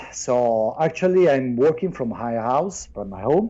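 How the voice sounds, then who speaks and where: A man with an Italian accent, his tone dark and mellow, his intonation lively. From southern Italy. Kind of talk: casual chat. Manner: shy; halting.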